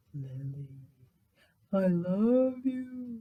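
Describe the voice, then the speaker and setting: A man puts on a high-pitched character voice. His pitch swings very widely. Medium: read story.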